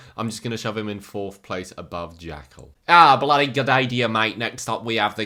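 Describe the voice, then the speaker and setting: On a very clean recording with a silent background, a man with an English accent talks fairly quickly in a bright, sharp tone. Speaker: YouTuber ranking movie villains. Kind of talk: casual commentary video. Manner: animated.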